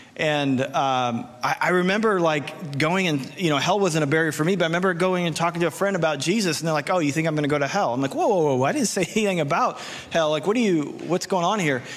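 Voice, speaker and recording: Pitch moves in an ordinary way while the words come out very fast. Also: man, high pitch for a man. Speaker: preacher. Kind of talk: sermon. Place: stage. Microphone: handheld.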